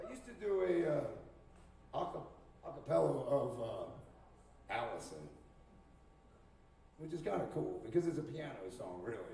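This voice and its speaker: A man talks with long, frequent pauses. The recording has audible room echo and noticeable background noise. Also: moderate pace, big swings in loudness. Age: 60s. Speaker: musician and open mic host. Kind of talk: casual stage banter. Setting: stage with audience. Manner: loud.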